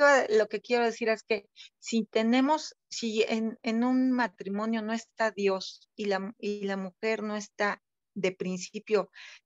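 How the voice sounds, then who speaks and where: Against a quiet background, a woman talks at a fairly slow pace with fairly even intonation, the sound dry with no echo. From Mexico. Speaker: group participant. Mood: reflective, earnest. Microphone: video call.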